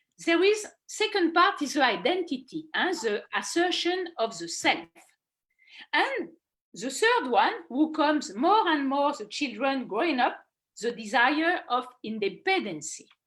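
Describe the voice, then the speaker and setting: Speaking at a fairly slow pace, a woman uses a high pitch with very wide swings. She has a French accent. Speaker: philosopher and children's author. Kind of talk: online talk. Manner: halting, many fillers.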